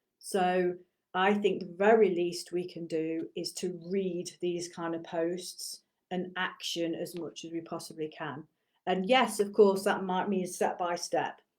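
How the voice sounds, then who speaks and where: At a fairly slow pace, a woman speaks in a fairly low voice with fairly even intonation. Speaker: martial arts teacher and business coach. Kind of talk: casual monologue to camera. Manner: lecturing, teacherly.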